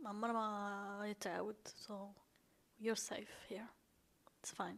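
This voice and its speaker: Her voice sits at a medium pitch as this woman speaks at a moderate pace with monotone, flat intonation. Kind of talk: personal storytelling to camera.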